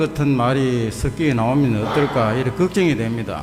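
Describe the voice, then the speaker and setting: A man speaks in a strong Gyeongsang accent. Noticeable background noise and audible room echo fill the recording. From Gyeongsang region, South Korea (Daegu). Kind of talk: faith testimony talk in church.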